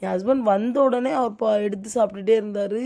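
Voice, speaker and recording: This woman has a medium-pitched voice with a dark, mellow tone. Her pitch varies in an ordinary way. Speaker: home cooking vlogger. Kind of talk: casual vlog chat. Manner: halting, pausing to breathe.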